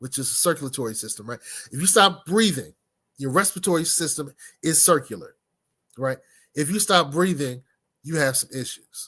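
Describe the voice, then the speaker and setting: A man's bright, sharp tone and lively intonation, with long, frequent pauses, on a very clean recording with a silent background. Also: fairly high pitch for a man, fairly quick pace, big swings in loudness. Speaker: business speaker. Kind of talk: motivational talk.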